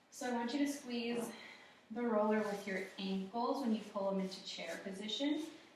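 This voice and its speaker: A soft-spoken woman talks at a moderate pace with a fairly high pitch. Her pitch varies in an ordinary way, and background noise is noticeable. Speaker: fitness instructor. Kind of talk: workout class instruction. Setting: studio.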